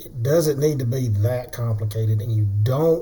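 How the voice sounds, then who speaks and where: The speaker has a Southern US accent and a fairly slow pace. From US South. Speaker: day trader, trading tutorial creator. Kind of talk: tutorial. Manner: casual, conversational.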